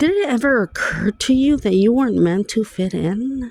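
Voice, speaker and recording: Speaking with a non-native accent, a woman talks at a fairly slow pace. Her voice has a dark, mellow tone, fairly high pitch and ordinary pitch variation. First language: Spanish. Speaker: vlogger. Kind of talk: personal vlog monologue.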